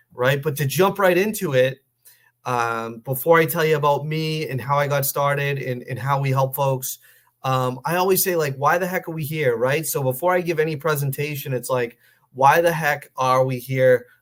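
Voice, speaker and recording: The man has an ordinary speaking voice at a fairly high pitch. He speaks at a moderate pace with ordinary pitch variation. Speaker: financial planner. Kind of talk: webinar presentation. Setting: online webinar call.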